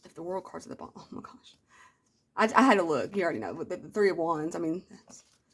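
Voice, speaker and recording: Loud and animated, a woman talks at a very fast pace with lively intonation. Her pitch sits fairly low. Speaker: tarot reader. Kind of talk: tarot reading.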